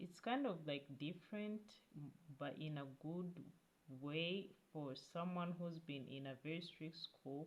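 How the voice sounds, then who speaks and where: In a fairly low voice with a non-native accent, a woman speaks at a fairly slow pace with ordinary pitch variation. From Africa. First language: not English. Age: 20s. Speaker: YouTube vlogger. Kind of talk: casual vlog talk to camera. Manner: halting, with many fillers and restarts.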